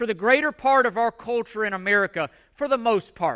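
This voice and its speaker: Raised and projected, a man's high voice carries a passionate, bright and sharp tone. He keeps a moderate pace with ordinary pitch variation. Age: 40s. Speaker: pastor. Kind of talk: sermon. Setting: church. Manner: loud.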